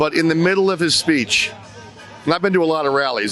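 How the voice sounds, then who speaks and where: There is clear background noise throughout. The male speaker has an American accent. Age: 60s. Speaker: rally attendee. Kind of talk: street interview. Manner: animated.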